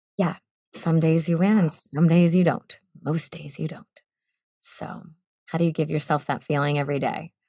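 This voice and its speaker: In an American accent, a woman with a dark, mellow tone and fairly low pitch speaks in a flat monotone, leaving long, frequent pauses. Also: moderate pace, very clean recording, silent background. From US Northeast, Boston. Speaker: voice actor. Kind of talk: interview.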